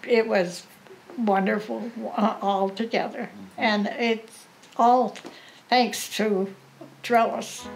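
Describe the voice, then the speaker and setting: Music plays behind a woman whose fairly high voice holds very even loudness and fairly even intonation. She talks at a very slow pace with long, frequent pauses. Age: 80s+. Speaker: World War II veteran. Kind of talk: interview answer. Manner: hesitant.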